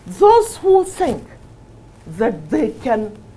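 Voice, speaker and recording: A woman speaks with a Northern Nigerian accent and very wide pitch swings. Noticeable background noise is present. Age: 60s. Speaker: politician. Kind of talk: interview. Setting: TV studio. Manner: animated.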